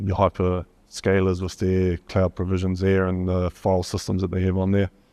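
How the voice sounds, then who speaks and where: With a New Zealand accent, a dark, mellow voice speaks in a flat monotone at a moderate pace, recorded dry and close without echo against a quiet background. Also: man. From New Zealand, Gisborne. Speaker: solution architect presenting at a conference. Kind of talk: conference presentation. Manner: hesitant, with many fillers.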